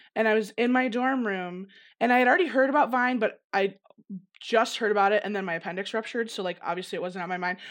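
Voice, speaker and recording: Speaking at a fairly quick pace, a woman with a plain, everyday voice uses a fairly high pitch and ordinary pitch variation on a very clean recording with a silent background. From US Midwest, Chicago suburbs. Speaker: social media comedian. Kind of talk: casual interview chat.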